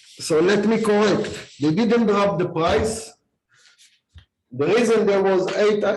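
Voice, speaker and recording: A man talks at a fairly slow pace in a high voice, with ordinary pitch variation and very even loudness. Long, frequent pauses break up his speech, and the room echo is audible. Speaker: HOA board member. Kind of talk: board meeting. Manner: very loud.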